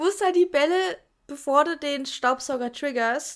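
With lively intonation, a woman speaks in an animated tone. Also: very clean recording, silent background. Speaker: podcast co-host. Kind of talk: casual chat.

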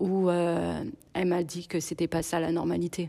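Very clean recording, silent background, with a woman speaking in a fairly low pitch. Her tone is dark and mellow, and her intonation is monotone and flat. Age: 30s. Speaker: single mother sharing abuse survivor story. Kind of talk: personal testimony interview. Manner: hesitant, many fillers.

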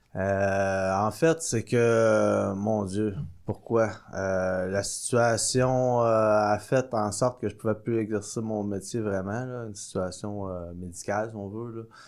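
A man's very slow speech, fairly low in pitch, with fairly even intonation. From Quebec, Sorel-Tracy. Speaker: microbrewery co-owner. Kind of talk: casual chat. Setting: studio.

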